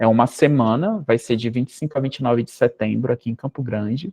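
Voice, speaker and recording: Dry and close with no echo, this man's voice has a dark, mellow tone and medium pitch, moving at a moderate pace with fairly even intonation. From northern Brazil. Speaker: professor. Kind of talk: talk with Q&A. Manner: halting.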